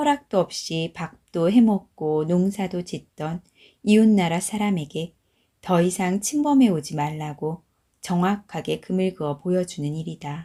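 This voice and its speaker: Calm and dark, mellow in tone, the voice moves at a fairly slow pace with lively intonation, recorded very cleanly against a silent background. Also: woman, fairly low pitch for a woman. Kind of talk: audiobook reading. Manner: calm, slow.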